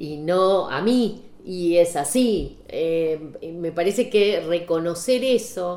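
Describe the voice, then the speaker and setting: This woman has a fairly low pitch. Her pitch moves with ordinary variation. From Saladillo, Buenos Aires province, Argentina. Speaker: photographer. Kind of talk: casual chat. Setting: at her home.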